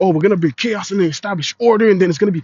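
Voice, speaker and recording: A man speaks in a New York accent. His tone is animated. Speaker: street preacher / bible teacher. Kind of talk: religious lesson, sermon. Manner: animated, repetitive stammering.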